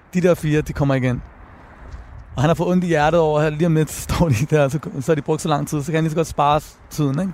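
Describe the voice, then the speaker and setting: A man talks at a very fast pace, broken by long, frequent pauses. His pitch is fairly high. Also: fairly even intonation. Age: 30s. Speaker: rapper and author. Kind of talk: interview. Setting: outdoors on a bench.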